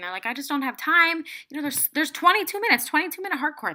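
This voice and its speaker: A woman with a bright, sharp tone speaks in an animated way, her voice raised and projected. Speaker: fitness coach. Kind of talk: tutorial. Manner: fast.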